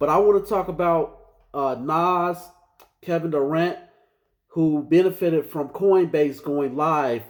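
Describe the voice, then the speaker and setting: The speech moves at a fairly slow pace. Its pitch varies in an ordinary way. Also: man. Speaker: finance podcast host. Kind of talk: casual commentary. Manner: informal, conversational.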